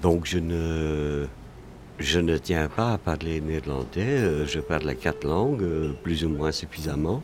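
Very slowly, a man speaks at a very deep, low pitch with ordinary pitch variation. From Flanders. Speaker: café regular. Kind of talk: casual chat. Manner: halting.

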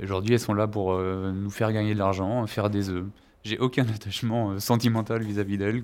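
A man's fairly low, flat monotone at a fairly quick pace, very cleanly recorded against a silent background. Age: 30s. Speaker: farmer. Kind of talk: interview.

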